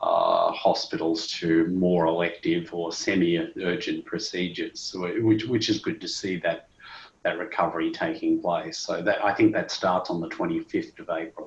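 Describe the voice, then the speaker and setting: The speaker is a man with an Australian accent. He talks at a middling speed. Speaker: medical device executive, cardiologist. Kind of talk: interview. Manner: hesitant, many fillers.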